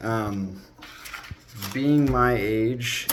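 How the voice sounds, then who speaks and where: A man speaks at a medium pitch. He has a normal speaking voice. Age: 20s. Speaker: entrepreneur vlogger. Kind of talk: casual vlog monologue. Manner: casual, conversational.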